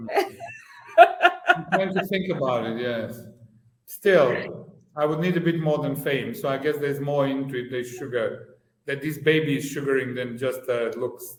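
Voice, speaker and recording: A man with a fairly high voice speaks in a space with audible room echo. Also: ordinary pitch variation, moderate pace. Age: 60s. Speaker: podcast co-host. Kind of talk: casual chat.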